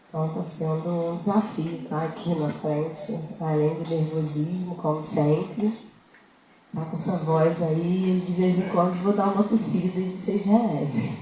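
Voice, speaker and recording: A woman speaks fairly slowly at a fairly low pitch with fairly even intonation. Audible room echo and noticeable background noise are present. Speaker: lay preacher. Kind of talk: sermon.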